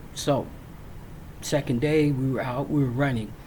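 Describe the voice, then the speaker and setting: Somewhat breathy, a man with an American accent speaks in fairly even intonation, with audible room echo. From Virginia. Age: 60s. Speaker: military veteran. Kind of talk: personal storytelling. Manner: casual, with frequent fillers.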